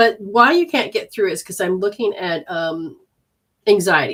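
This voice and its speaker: A woman speaks at a moderate pace in a plain, everyday voice. Her medium pitch carries lively intonation. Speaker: energy healer and intuitive reader. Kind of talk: live-streamed healing session and readings. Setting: live stream.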